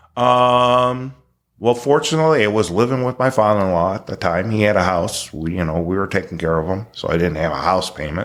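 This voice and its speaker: Speaking at a fairly quick pace, a man uses an unremarkable speaking voice that sits fairly low in pitch, with lively intonation. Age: 60s. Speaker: retired exterminator. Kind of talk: interview answer.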